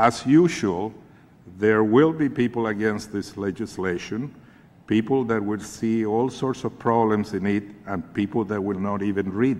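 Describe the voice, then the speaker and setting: A man speaks with a Spanish accent at a fairly slow pace. His pitch variation is ordinary. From Chile. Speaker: advocacy group leader. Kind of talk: congressional testimony. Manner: formal.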